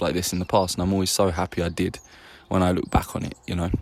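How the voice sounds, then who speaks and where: Speaking in an English accent, a man talks at a very fast pace with a very deep, low pitch. His intonation stays fairly even. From England. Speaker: vlogger. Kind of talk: casual vlog monologue. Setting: outdoors in a garden. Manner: halting, many fillers.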